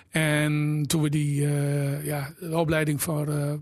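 A man's somewhat breathy voice, fairly high in pitch, in a flat monotone. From Drenthe, Netherlands (Exloo). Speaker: entrepreneur, shoe shop owner. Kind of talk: casual interview.

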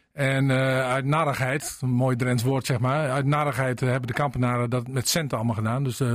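A man speaks at medium pitch in a monotone, flat intonation, at a moderate pace with hardly any pauses. Noticeable background noise runs underneath. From Drenthe. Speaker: mayor. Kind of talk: radio interview.

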